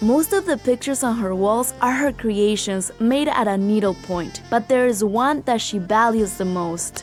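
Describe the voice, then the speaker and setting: A woman talks at a moderate pace with hardly any pauses, at a fairly high pitch with ordinary pitch variation. Music plays in the background. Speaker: interviewer and narrator. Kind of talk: documentary narration.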